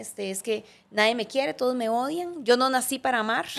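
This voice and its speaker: A woman with a Costa Rican accent. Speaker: podcast co-host. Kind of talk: casual conversational podcast chat. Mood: reflective, earnest. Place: studio. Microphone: studio mic.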